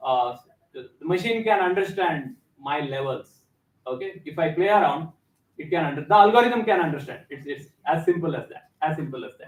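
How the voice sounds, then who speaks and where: A man speaks at a fairly quick pace in a high voice with lively intonation. His loudness swings widely. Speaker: visiting company representative presenting an edtech product. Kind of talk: classroom presentation. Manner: hesitant, many fillers. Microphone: speaking without a microphone.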